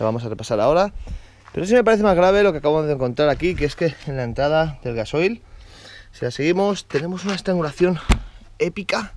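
A man's fairly high, slightly mellow voice with lively intonation at a fast pace

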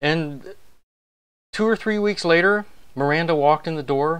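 Lively intonation colors the man's speech. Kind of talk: casual live address to an audience. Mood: warm, friendly. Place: home room. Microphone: lapel.

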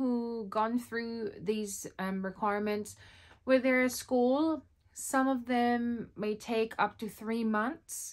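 Over a quiet background, a woman with a Filipino accent speaks at a fairly slow pace in a fairly high voice. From Philippines. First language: Tagalog. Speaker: vlogger. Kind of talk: tutorial. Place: home room.

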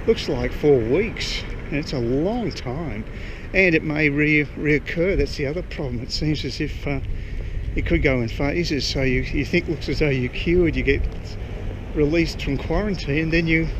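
Noticeable background noise surrounds a man speaking with ordinary pitch variation. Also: moderate pace. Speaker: vlogger. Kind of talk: casual vlog chat. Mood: concerned, opinionated. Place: street. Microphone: phone near.

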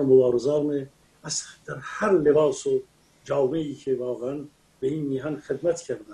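A man talks at a moderate pace. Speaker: remote guest commentator. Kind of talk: interview answer. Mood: proud, impassioned. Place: home room. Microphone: video call.

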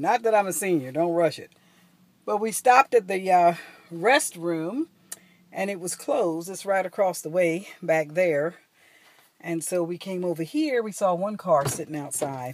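A woman talks at a moderate pace with a fairly low pitch and lively intonation, her loudness swinging widely. The sound is dry, with no echo. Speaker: travel vlogger. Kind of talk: casual vlog chat. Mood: light, joking. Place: car. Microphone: phone near.

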